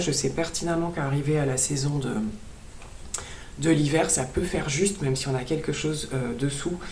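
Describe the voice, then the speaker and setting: The room echo is audible as a woman speaks at a moderate pace. Her pitch is very deep and low, and her intonation is fairly even. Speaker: beauty and fashion vlogger. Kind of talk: haul video chat. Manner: hesitant with many fillers.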